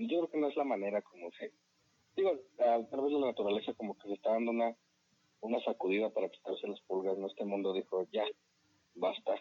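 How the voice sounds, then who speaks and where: A man with a medium pitch and ordinary pitch variation speaks at a very fast pace, broken by long, frequent pauses. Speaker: podcast co-host. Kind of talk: casual chat.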